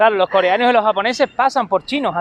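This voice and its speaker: A man's high-pitched voice at a fairly quick pace, with ordinary pitch variation. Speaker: YouTuber living abroad. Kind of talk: casual chat.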